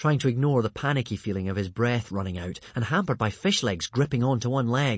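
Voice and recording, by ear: Here the text is read aloud in a natural voice.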